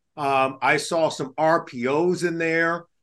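Against a quiet background, a man with an American accent speaks in a high pitch. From Los Angeles, California. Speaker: podcast host, former NFL player. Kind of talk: casual sports chat.

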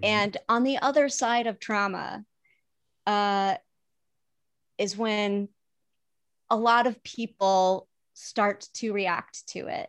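Speaking very slowly with long, frequent pauses, a woman with an American accent has a fairly high pitch, ordinary pitch variation and big swings in loudness, in a dry, close sound with no echo over a quiet background. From US Midwest. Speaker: TV development executive and comedy producer. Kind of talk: casual chat.

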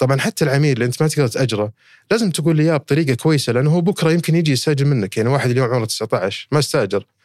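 Very fast speech from a man with a fairly high pitch and lively intonation, on a very clean recording with a silent background. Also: hardly any pauses, very even loudness. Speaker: company CEO. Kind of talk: casual interview.

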